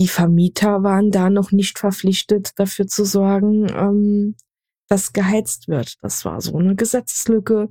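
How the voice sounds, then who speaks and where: With a Saarland accent, a woman speaks at a fairly slow pace and a medium pitch. Her dark, mellow tone is somewhat breathy, dry and close with no echo. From Saarland, Germany. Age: 20s. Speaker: podcast co-host. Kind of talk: casual discussion.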